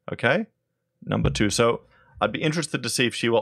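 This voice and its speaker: Lively intonation and vocal fry come through in a dry, close sound with no echo on a very clean recording with a silent background. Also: man. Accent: Australian. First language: German (bilingual). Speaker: political commentary YouTuber. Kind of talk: video commentary. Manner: animated.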